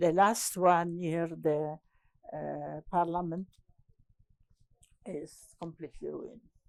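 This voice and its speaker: A woman with a Polish accent speaks at a very slow pace, with long, frequent pauses. Her fairly low voice keeps fairly even intonation while her loudness swings widely. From Poland. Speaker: landscape architect. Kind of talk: oral history interview. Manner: halting, many hesitations.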